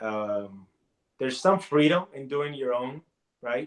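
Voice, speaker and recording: A man speaks at a medium pitch with ordinary pitch variation. His pace is moderate. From Puerto Rico. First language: Spanish. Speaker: comic artist and college teacher. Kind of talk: interview.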